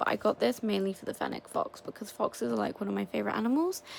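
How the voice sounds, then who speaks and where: Over noticeable background noise, someone with a British accent talks quietly at a very fast pace. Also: woman. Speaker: toy unboxing YouTuber. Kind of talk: casual unboxing video. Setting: at home at night. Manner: quiet, hushed.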